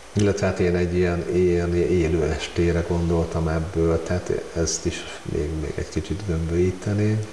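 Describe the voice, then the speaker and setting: Very deep and low, a man's voice runs monotone and flat at a moderate pace with hardly any pauses. Light background noise and audible room echo surround it. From Hungary. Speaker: amateur photographer. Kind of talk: casual interview. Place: home room. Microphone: lapel.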